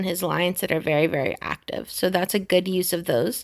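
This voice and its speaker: A woman with an American accent, medium pitch and fairly even intonation, a plain, everyday voice, in a very clean recording with a silent background. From US. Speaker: gaming youtuber. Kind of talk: tutorial.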